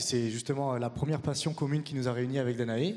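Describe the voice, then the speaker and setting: A man's medium-pitched voice in a dark, mellow tone with ordinary pitch variation. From France. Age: 30s. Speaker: acro-yoga teacher and performer. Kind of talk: conference talk.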